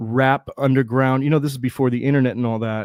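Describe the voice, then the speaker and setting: A man with a plain, everyday voice and an American accent speaks at a medium pitch with fairly even intonation. The very clean recording has a silent background and a dry, close sound with no echo. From US Midwest, Cleveland, Ohio. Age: 40s. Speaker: rapper and beatmaker. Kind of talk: casual interview chat.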